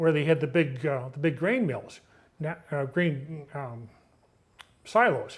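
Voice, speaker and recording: Big swings in loudness mark this somewhat breathy voice with an American accent, which moves at a very slow pace with long, frequent pauses. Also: man, fairly high pitch for a man, ordinary pitch variation. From western New York, rural Orleans County. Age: 70s. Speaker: retired local farmer, oral history interviewee. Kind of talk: oral history interview. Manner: halting, many fillers and restarts.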